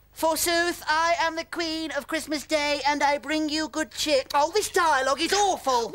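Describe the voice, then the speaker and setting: With hardly any pauses, a cartoonish character voice talks at a moderate pace in a high pitch. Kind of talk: comic puppet voice. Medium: comedy sketch.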